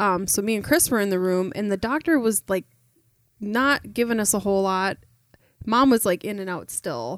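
A woman's plain, everyday voice at a medium pitch and moderate pace, lively in intonation, on a very clean recording with a silent background. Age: 30s. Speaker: podcast guest, host's wife. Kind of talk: casual chat.

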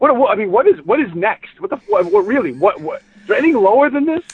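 A man with a high-pitched voice talks at a fast pace. His pitch swings widely, with a slightly husky edge.

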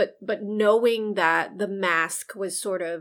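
A woman with an American accent, medium in pitch, with ordinary pitch variation and an unremarkable speaking voice. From US, Chinese American family. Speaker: psychologist podcast co-host. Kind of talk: casual chat.

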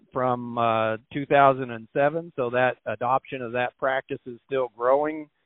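His intonation remains fairly even. The man speaks in an American accent. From Missouri. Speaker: government agricultural statistician. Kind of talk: interview. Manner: frequent filler words (uh, um).

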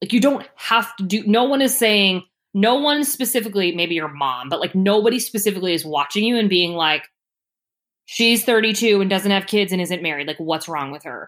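A woman talks in a plain, everyday voice at medium pitch. She moves at a fairly quick pace with lively intonation. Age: 30s. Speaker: career coach. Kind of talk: interview.

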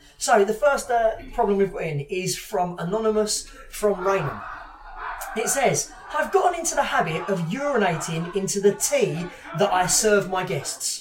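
Against noticeable background noise, a man speaks at a moderate pace. His high-pitched voice has lively intonation and an animated tone. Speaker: podcast co-host. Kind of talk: casual interview chat. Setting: gym venue. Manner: joking, animated.

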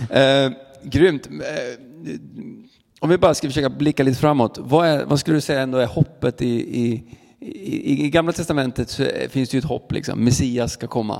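A man speaks with vocal fry in a fairly high pitch. His pitch varies in an ordinary way. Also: moderate pace. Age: 30s. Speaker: church podcast host. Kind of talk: interview conversation. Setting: church.

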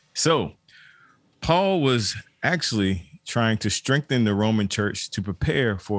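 With a fairly low voice, a man delivers his words at a fairly slow pace. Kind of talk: casual chat. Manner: enthusiastic, upbeat.

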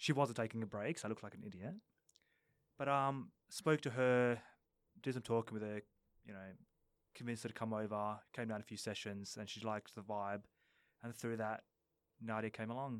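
A man with a medium pitch and fairly even intonation talks at a fairly quick pace, with big swings in loudness. He leaves long, frequent pauses, and the recording is very clean with a silent background. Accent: Australian. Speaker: football coach. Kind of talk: casual chat. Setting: studio.

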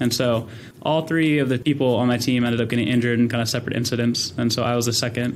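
Audible room echo carries a man's medium-pitched voice at a very fast pace with fairly even intonation. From California, US. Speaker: venture capital investor and army veteran. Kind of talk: interview.

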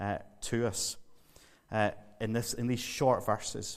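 A man talks at a medium pitch in a Northern Irish accent. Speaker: visiting preacher. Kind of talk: sermon.

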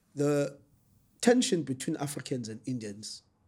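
A man's somewhat breathy voice, dark and mellow in tone, moves at a fairly slow pace. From South Africa, KwaZulu-Natal north of Durban. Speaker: political activist and analyst. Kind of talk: interview.

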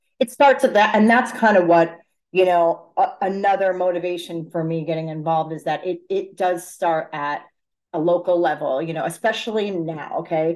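A woman with an American accent speaks in a normal speaking voice, fairly low in pitch, with ordinary pitch variation at a moderate pace. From Fairfield County, Connecticut. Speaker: city council candidate. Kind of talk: interview.

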